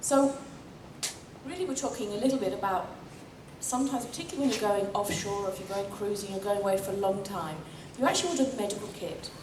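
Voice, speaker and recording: A woman talks very fast at a medium pitch with ordinary pitch variation, yet with long, frequent pauses. Noticeable background noise and audible room echo fill the recording. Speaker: emergency doctor and sailor. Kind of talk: talk to club audience.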